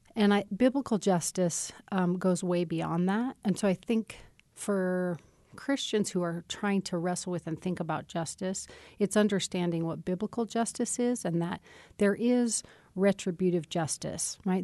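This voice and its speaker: A medium-pitched woman with an American accent and a dark, mellow tone, at a fairly slow pace with ordinary pitch variation, in a dry, close sound with no echo against a quiet background. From Wyoming, US. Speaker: seminary professor. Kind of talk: interview conversation.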